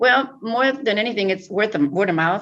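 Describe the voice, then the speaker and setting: Her pitch varies in an ordinary way as the woman talks at a fairly quick pace. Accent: Spanish. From Mexico (Jalisco), raised in US from age three. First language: Spanish. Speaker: real estate agent. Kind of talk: interview testimonial.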